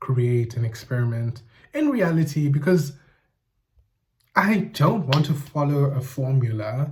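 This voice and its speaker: The voice comes out somewhat breathy at a very slow pace. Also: man. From South Africa, Eastern Cape. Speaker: YouTuber. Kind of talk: casual monologue video essay. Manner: casual, thinking aloud with self-corrections.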